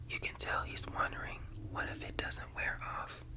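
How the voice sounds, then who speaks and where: A man whispering at a fairly slow pace over noticeable background noise. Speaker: ASMR creator. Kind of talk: spooky story reading, interactive choose-your-path book. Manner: whispered, soft-spoken.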